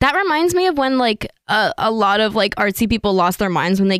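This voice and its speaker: Over a very clean, silent background, a woman with an American accent talks at a fairly quick pace in a medium pitch with lively intonation, the sound dry and close with no echo. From Northern California. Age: 20s. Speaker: university student and aspiring actress. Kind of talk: casual chat. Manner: articulate.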